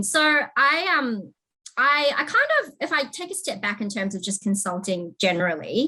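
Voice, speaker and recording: With a New Zealand accent, a woman speaks at a moderate pace in a bright, sharp tone, her pitch swinging very widely. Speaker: technology consulting manager. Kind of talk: interview.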